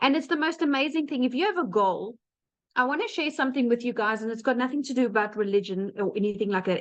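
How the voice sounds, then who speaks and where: With a South African accent, a woman speaks using lively intonation. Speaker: webinar presenter sharing business success story. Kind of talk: webinar testimony. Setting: online webinar. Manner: animated.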